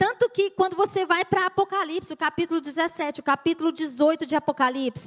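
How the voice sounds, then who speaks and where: A woman talks at a very fast pace with an extremely high pitch, hardly any pauses, and very even loudness. The sound is dry and close, with no echo. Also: ordinary pitch variation. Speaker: pastor. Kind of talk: sermon.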